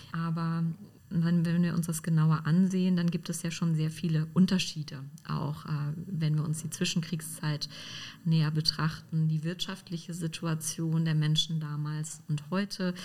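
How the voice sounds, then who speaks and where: In a somewhat breathy, fairly low voice, a woman speaks at a fairly slow pace with monotone, flat intonation. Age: 30s. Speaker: historian. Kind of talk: interview.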